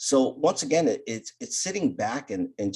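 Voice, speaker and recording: This man has an unremarkable speaking voice. His intonation is lively and his pace moderate. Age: 60s. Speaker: business speaker and author. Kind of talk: interview.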